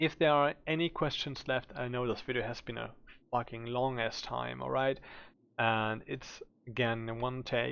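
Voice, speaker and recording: Someone speaks at a moderate pace with a German accent. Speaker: gaming streamer. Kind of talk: game build tutorial. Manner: casual with filler words.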